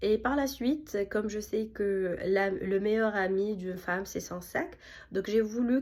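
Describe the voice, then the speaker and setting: Her pitch fairly high with ordinary variation, a woman talks at a very slow pace. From Tunisia. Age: 30s. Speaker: architect and small business owner. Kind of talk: self-presentation pitch. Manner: hesitant, many fillers.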